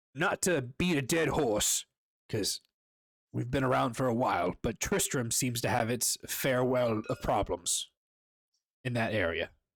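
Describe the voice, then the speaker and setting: A raspy, put-on character voice from a man at medium pitch, with lively intonation, a moderate pace and long, frequent pauses, in a very clean recording with a silent background. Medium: actual play. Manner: casual, conversational, hesitant.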